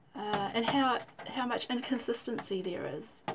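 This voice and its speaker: With a New Zealand accent and lively intonation, the speaker keeps a moderate pace against noticeable background noise. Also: woman. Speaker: vlogger. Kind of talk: personal testimony. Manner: hesitant with fillers.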